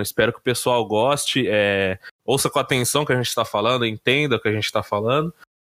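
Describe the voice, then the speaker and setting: A man speaks at a fairly quick pace. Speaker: podcast co-host. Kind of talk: casual chat. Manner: hesitant, many fillers.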